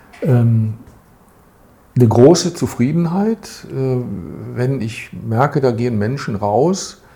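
A man's voice comes through somewhat breathy. Its tone is dark and mellow. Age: 60s. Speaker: retired volunteer advisor. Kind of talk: interview.

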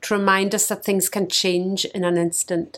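A woman with a Scottish accent at a medium pitch and moderate pace, on a very clean recording with a silent background. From Scotland. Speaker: missionary leader. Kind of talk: scripted devotional message.

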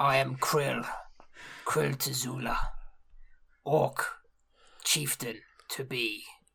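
A put-on character voice, raspy and low-to-middle in pitch, at a very slow pace with long, frequent pauses. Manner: blunt, proud, clipped.

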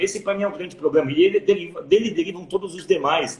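Noticeable background noise sits under a man's high-pitched voice. His intonation is lively. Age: 40s. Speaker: education specialist. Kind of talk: casual chat.

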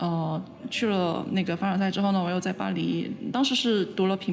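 A woman with a medium pitch speaks at a fairly quick pace. Her intonation stays fairly even, with noticeable background noise behind her. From Guangzhou, China. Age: young. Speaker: visual artist. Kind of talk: interview. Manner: hesitant, many fillers.

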